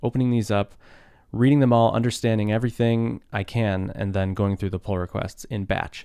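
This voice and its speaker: A man's rumbling, fairly low voice with a dark, mellow tone, relaxed and fairly quick, over a quiet background. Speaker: open-source developer live streaming. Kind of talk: casual live stream chat. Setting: live stream from home desk. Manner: relaxed, conversational.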